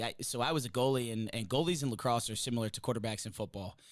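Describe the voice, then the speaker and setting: Upbeat and animated, a man talks at a very fast pace. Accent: American. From New Jersey. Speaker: college lacrosse coach. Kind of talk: podcast interview. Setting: studio. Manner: loud; upbeat, animated.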